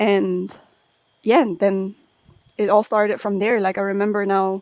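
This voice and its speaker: Monotone and flat in intonation, a woman with a Swiss German accent speaks at a moderate pace in a medium pitch. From Switzerland, small town on Lake Constance, with Balinese family. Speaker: ceremony and ritual facilitator. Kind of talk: interview conversation. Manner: hesitant, many fillers.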